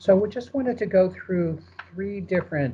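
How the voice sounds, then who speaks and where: This is a man with an American accent. His voice is somewhat breathy. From United States. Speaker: market research presenter. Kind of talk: webinar presentation. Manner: fast; hesitant, many fillers.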